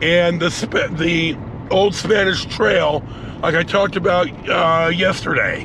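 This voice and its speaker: Amid noticeable background noise and audible room echo, a man with a high pitch speaks at a fairly slow pace with fairly even intonation and very even loudness. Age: 60s. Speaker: travel vlogger. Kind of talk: casual vlog monologue while driving. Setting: in a car. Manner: halting, many fillers.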